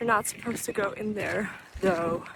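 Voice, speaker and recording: A woman at a medium pitch and moderate pace, amid noticeable background noise. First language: Danish. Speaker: vlogger and artist. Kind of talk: casual vlog narration. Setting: outdoors hiking. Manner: casual, halting with fillers.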